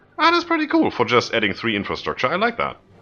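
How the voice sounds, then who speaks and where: Over music in the background, a man talks at a fairly quick pace. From Germany. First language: German. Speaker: gaming video creator. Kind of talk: gameplay commentary. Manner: casual, halting with fillers.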